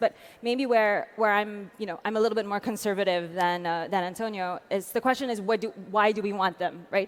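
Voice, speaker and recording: A fairly quick pace with fairly even intonation, in an American accent. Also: woman. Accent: American-sounding. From France. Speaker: tech policy advocate. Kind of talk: panel discussion. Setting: conference stage. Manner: fast, many fillers.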